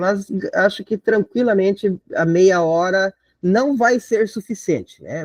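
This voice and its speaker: A high-pitched man speaks with ordinary pitch variation in a dry, close sound with no echo. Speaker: teacher preparing students for an exam. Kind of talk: online lecture. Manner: casual, conversational.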